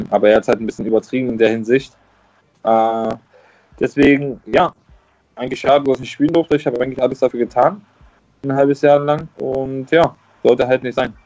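A man speaks at a fairly quick pace in a medium-pitched voice, with fairly even intonation. He leaves long, frequent pauses, and the sound is dry and close with no echo. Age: 20s. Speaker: former professional footballer. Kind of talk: interview.

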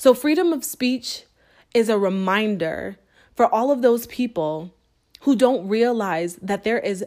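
This woman has an ordinary speaking voice with an American accent and ordinary pitch variation. She speaks at a moderate pace on a very clean recording with a silent background. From US Northeast, Springfield, Massachusetts. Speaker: author and podcast host. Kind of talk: personal monologue.

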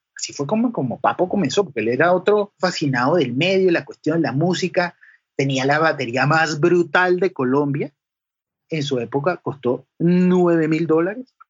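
A man talks at a moderate pace in a normal speaking voice, fairly high in pitch, with ordinary pitch variation. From Venezuela, Caracas and the llanos (Guárico). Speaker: sound engineer. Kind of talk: interview.

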